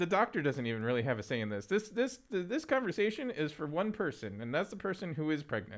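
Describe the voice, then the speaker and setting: On a very clean recording with a silent background, a man with an American accent speaks at a fairly high pitch with very wide pitch swings. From Philadelphia, US. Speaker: technical theatre professional and activist. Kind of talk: interview conversation. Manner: halting with many fillers.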